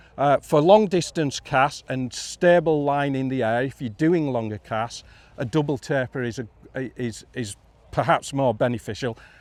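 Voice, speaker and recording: With a northern English accent, a man speaks at a medium pitch and moderate pace. The recording is very clean with a silent background. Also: ordinary pitch variation. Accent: northern English (Yorkshire-ish). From northern England, Yorkshire border. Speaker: fly fishing instructor. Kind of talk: live talk to audience.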